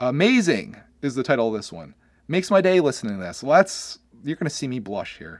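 Fairly quick and fairly high-pitched, a man speaks with vocal fry and very wide pitch swings in a very clean recording with a silent background. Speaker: YouTuber and podcast host. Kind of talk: casual solo podcast monologue. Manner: fast; repeats words, stammers.

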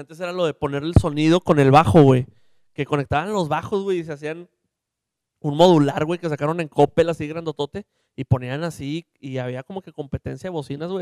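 A man with an unremarkable speaking voice talks at a fairly quick pace and a fairly high pitch, with big swings in loudness. The sound is dry and close, with no echo. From Mexico, Monterrey area (Santa Catarina). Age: 20s. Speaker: podcast co-host. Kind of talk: casual chat.

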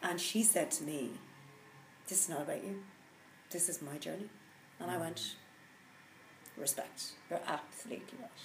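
In a Dublin accent, a woman with a fairly low pitch speaks at a moderate pace with lively intonation and long, frequent pauses. Audible room echo is present. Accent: Dublin Irish. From Ireland, Dublin. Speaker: executive coach and mindfulness teacher. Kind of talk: casual interview. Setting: live recording.

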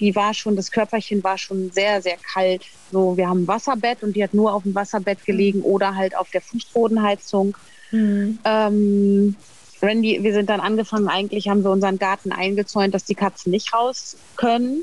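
A woman's medium-pitched voice, monotone and flat in intonation, at a moderate pace with very even loudness. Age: 40s. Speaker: cat owner. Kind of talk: casual interview.

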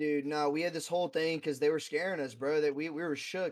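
The pace is fairly quick. Intonation stays fairly even. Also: man.

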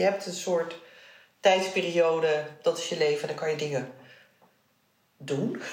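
A woman talks at a moderate pace, with audible echo from the room. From Netherlands. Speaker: interviewee sharing family history. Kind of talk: personal interview. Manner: halting.

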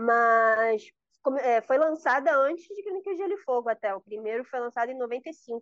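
Lively intonation comes through in a dry, close sound with no echo against a quiet background. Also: woman, high pitch for a woman, moderate pace. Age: 20s. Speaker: podcast guest, fantasy book fan. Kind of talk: casual chat.

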